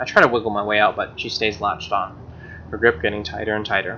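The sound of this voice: A man talks at a fairly quick pace in a fairly low pitch. His tone is bright and sharp, with little pitch movement.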